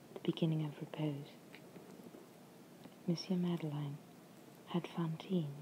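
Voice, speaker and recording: A soft-spoken woman's very deep, low voice with an English accent, somewhat breathy, calm in tone, dark and mellow, with fairly even intonation. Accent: English accent, self-described as imperfect. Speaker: ASMR reader. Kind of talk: audiobook-style reading of a novel chapter for relaxation. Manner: soft-spoken, calm, ASMR.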